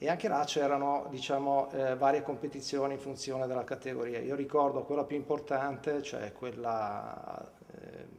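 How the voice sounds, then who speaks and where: Heard with audible room echo, a man talks at a fairly quick pace and a medium pitch. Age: 50s. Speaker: former swimmer and water polo player. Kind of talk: interview testimony. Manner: hesitant, many fillers.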